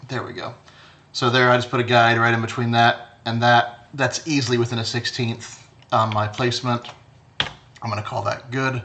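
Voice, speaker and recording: Over light background noise, a man talks at medium pitch in a monotone, flat intonation. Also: moderate pace. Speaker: design instructor. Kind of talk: tutorial. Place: home room.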